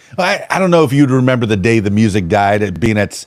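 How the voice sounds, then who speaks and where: With an American accent, a man speaks in an animated tone at a fairly quick pace and medium pitch, over noticeable background noise. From South Florida. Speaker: podcast host and DJ. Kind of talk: casual interview. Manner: animated, halting with repetitions.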